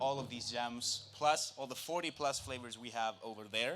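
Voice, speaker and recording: The recording has audible room echo. A man speaks at medium pitch and a moderate pace, with ordinary pitch variation. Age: 20s. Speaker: food producer. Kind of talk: live product presentation. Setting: stage with audience.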